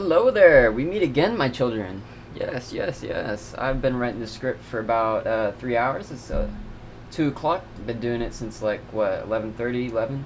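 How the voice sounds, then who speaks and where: The speaker talks at a moderate pace with ordinary pitch variation. Noticeable background noise runs behind the voice. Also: man, medium pitch for a man. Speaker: self-improvement YouTuber. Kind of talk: casual talk to camera. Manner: stammering, hesitant.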